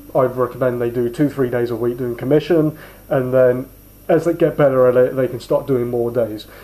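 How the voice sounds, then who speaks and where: A man at a moderate pace, a plain, everyday voice. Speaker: sales trainer. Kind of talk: casual instructional talk.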